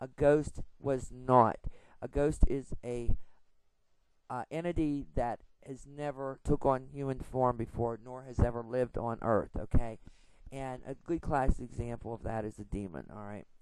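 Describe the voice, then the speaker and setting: A woman speaks fairly slowly with a very deep, low pitch and fairly even intonation. Her loudness swings widely. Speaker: paranormal investigator vlogger. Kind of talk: informal tutorial. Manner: casual, with many fillers.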